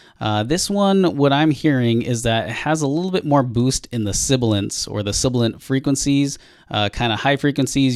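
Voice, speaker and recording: On a very clean recording with a silent background, a man talks at a fairly quick pace with ordinary pitch variation. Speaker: audio gear reviewer. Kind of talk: tutorial. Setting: recording booth testing microphones. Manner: casual, many filler words.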